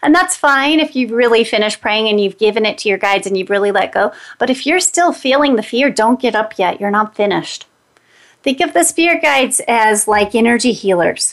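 Delivered at a fairly quick pace, a plain, everyday voice carries lively intonation with very even loudness. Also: woman, fairly high pitch for a woman. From West Virginia, Greenbrier County. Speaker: energy healer and radio host. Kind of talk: guided prayer; radio talk show.

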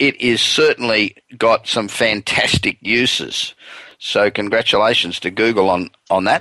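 With a bright, sharp tone and fairly low pitch, a man speaks at a fairly slow pace with fairly even intonation, the sound dry and close with no echo. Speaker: radio show host, business consultant. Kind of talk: radio talk show.

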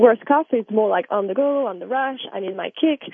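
The speaker has a French accent. The intonation is lively. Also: woman. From France. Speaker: tea company manager. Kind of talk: interview.

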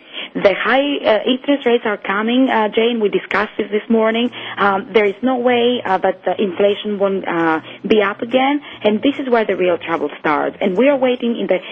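With noticeable background noise behind her, a woman speaks at a moderate pace and ordinary pitch variation. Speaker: currency market analyst. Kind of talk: radio market commentary. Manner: hesitant, filler-heavy.

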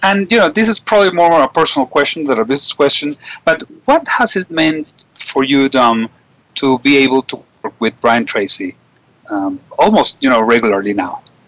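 At a moderate pace, the voice moves through very wide pitch swings, recorded with a dry, close sound and no echo. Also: man, fairly high pitch for a man. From Venezuela. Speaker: radio host, business coach. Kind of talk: radio interview. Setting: internet radio studio, guest remote.

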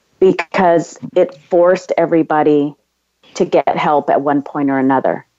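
This woman has a Californian accent and a fairly low pitch. She speaks at a fairly slow pace. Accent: Californian American. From US West Coast, San Diego. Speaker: entrepreneur. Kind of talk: interview.

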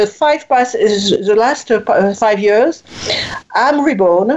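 Over noticeable background noise, a woman with a high voice speaks at a very slow pace, her intonation lively. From France. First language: French. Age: 60s. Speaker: writer and speaker, former corporate executive. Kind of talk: interview. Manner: halting, with repetitions.

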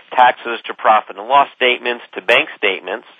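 A man speaks at a medium pitch. His voice has vocal fry. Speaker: business broker. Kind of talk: radio interview. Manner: energetic, projecting radio voice.

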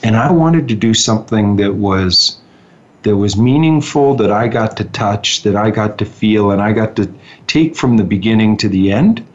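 With a Canadian accent, a man talks at a moderate pace in a plain, everyday voice. His pitch is fairly low, with ordinary pitch variation. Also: very even loudness. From Ontario, Canada (Muskoka). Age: 50s. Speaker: real estate executive. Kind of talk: interview.

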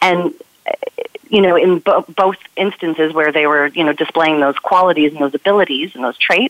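A woman with an unremarkable speaking voice, fairly low in pitch, talks at a fairly quick pace with ordinary pitch variation. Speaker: communication strategist. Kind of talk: radio conversation.

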